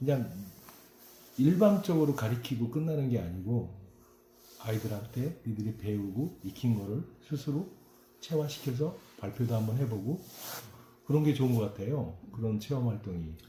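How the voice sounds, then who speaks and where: Somewhat breathy and dark, mellow in tone, the voice moves at a moderate pace with lively intonation and long, frequent pauses. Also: man, medium pitch for a man. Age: 50s. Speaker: local news reporter. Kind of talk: interview.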